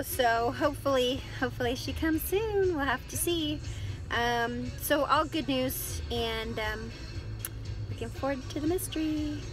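Against clear background music, a woman speaks at a fairly slow pace in a dry sound with no echo. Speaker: pregnant vlogger. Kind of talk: casual vlog chat. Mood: cheerful, hopeful.

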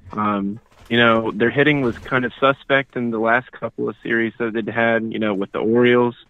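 At a moderate pace, a man speaks in a dry sound with no echo. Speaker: radio caller. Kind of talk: casual call-in sports talk. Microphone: phone line.

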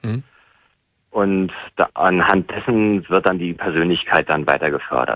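A man speaks at a very deep, low pitch and a fairly slow pace, with long, frequent pauses and ordinary pitch variation. The sound is dry with no echo over a quiet background. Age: 30s. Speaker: caller, former Scientology member. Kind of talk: phone-in conversation. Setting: phone call. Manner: halting, many fillers. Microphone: phone line.

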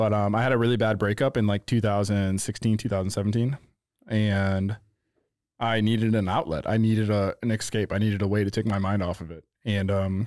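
A man with a St. Louis accent, fairly low pitch and fairly even intonation, dry with no echo, over a quiet background. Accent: Midwestern US (St. Louis). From St. Louis, Missouri (North County). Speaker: photographer. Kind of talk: casual chat. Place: studio. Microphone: studio mic.

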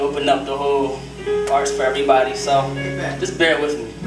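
A man rattles along very fast while music plays clearly behind him. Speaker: spoken word performer. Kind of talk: casual talk to audience. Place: church.

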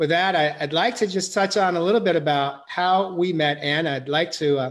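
His pitch is high for a man, with ordinary variation, as he talks at a moderate pace. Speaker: show host. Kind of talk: interview host introduction. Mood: warm, gentle. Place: home room. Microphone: video call.

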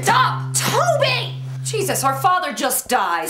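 A woman puts on a character voice at a fairly slow pace. Loud music plays in the background. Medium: comedy sketch. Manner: haughty, snippy.

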